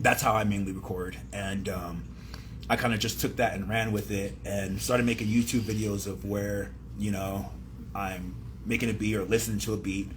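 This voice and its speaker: Here a man with an American accent talks at a moderate pace. His voice is fairly low, and the room echo is audible. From San Diego, California. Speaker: rapper. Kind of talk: radio interview. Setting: radio studio. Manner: halting.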